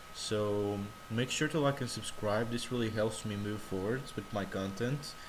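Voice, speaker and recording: With noticeable background noise and audible room echo, a man talks at a fairly low pitch with fairly even intonation. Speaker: tech tutorial youtuber. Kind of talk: screen-recorded tutorial. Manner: halting, self-correcting.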